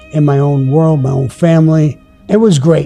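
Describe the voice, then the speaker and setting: Moderately paced man with an American accent, fairly high pitch and ordinary pitch variation, with music in the background. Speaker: former mafia underboss telling his own stories. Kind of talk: personal storytelling to camera. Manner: casual, reminiscent.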